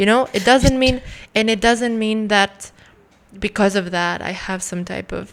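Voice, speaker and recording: A woman's plain, everyday voice, medium in pitch, with fairly even intonation and a fairly slow pace. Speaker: guest. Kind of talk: casual chat.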